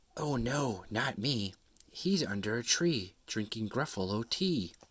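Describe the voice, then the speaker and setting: In a put-on character voice, a man speaks at medium pitch and a fairly slow pace. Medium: read story.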